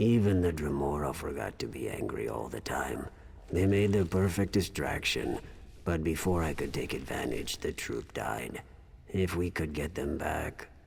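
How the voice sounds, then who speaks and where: A man puts on a character voice with a weary tone and a very deep, low pitch. He speaks at a moderate pace over clear background noise. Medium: video game.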